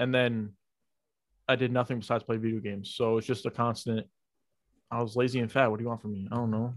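A man's medium-pitched voice with an American accent, very fast pace, monotone, flat intonation and long, frequent pauses. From New York. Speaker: podcast co-host. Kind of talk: casual chat.

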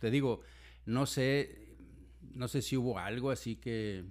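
A man's voice in a very clean recording over a silent background. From Mexico, raised in Monterrey. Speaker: physician and medical teacher. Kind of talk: casual interview. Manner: halting, many fillers.

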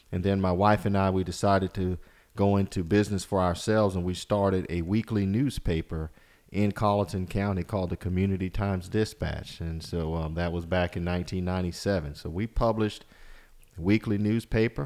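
With a South Carolina accent, a man talks at a fairly quick pace in a very deep, low voice with fairly even intonation, on a very clean recording with a silent background. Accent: US Southern, South Carolina. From South Carolina Lowcountry, Walterboro. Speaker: congressional candidate, attorney. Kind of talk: interview.

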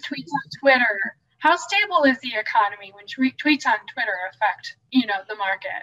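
A raised, projected voice with very wide pitch swings, big swings in loudness and hardly any pauses, in a dry, close sound with no echo. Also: woman, high pitch for a woman, moderate pace. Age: 30s. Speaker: podcast guest, mother of three. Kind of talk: casual chat.

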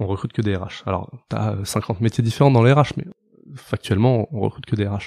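Talking at a fairly quick pace, a man with a fairly low pitch and ordinary pitch variation comes through in a dry, close sound with no echo. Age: 30s. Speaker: recruitment firm founder. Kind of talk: casual interview. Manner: hesitant, filler-heavy.

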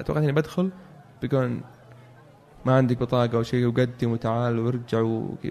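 Long, frequent pauses break up a man's moderate pace, his loudness very even and his pitch variation ordinary. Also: medium pitch for a man. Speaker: electrical engineer. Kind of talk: interview. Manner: halting.

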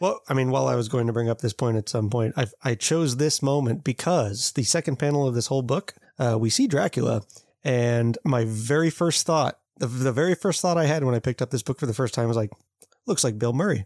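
A man with an unremarkable speaking voice talks at a fairly quick pace, at a medium pitch with ordinary pitch variation and very even loudness, in a dry, close sound with no echo. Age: 30s. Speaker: podcast co-host. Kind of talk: casual chat.

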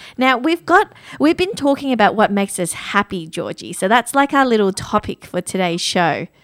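A woman's fairly high voice at a moderate pace, with very wide pitch swings, dry and close with no echo. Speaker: radio host. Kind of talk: radio dj patter, bantering with co-host. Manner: cheerful, warm, giggly.

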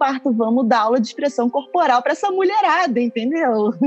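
Against noticeable background noise, a woman speaks at a high pitch and a moderate pace. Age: 30s. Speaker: actress and astrologer. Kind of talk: casual chat.

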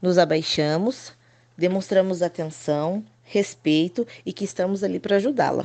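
A woman's voice with a dark, mellow tone. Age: 30s. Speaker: preschool teacher. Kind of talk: scripted narration.

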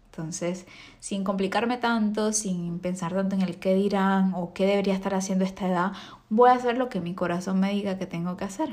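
A woman's normal speaking voice, medium in pitch, at a fairly quick pace in a very clean recording with a silent background. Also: fairly even intonation. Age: 20s. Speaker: podcast host and makeup artist. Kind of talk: solo monologue podcast.

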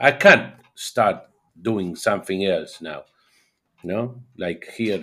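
Very slowly and with long, frequent pauses, a man speaks in a fairly low voice with an Argentine accent and ordinary pitch variation, in a very clean recording with a silent background. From Argentina. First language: Spanish. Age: 50s. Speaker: DJ. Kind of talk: interview. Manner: halting.

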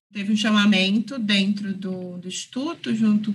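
An unremarkable speaking voice from a woman, medium in pitch, with fairly even intonation. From São Paulo, East Zone. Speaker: film director. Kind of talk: interview.

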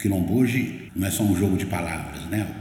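Amid noticeable background noise and audible room echo, a man with a fairly low pitch talks at a moderate pace with lively intonation. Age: 60s. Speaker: writer and journalist. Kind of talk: interview conversation.

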